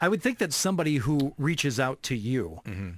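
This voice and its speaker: A man talks in a plain, everyday voice with fairly high pitch. The recording is very clean, with a silent background. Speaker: sports radio show host. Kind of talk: radio interview questions.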